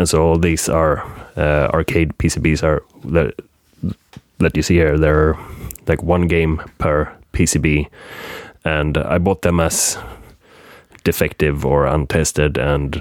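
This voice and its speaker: A man's very deep, low voice in a Swedish accent, very slow with long, frequent pauses, monotone, flat intonation, very even loudness and a dry, close sound with no echo. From Sweden, Gothenburg. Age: 30s. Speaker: game collector. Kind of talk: casual chat.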